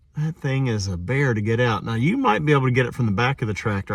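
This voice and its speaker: A man with a medium pitch and a somewhat breathy voice talks at a fairly quick pace. The recording is very clean, with a silent background. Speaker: DIY repair video maker. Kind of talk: tutorial. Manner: halting, stammering.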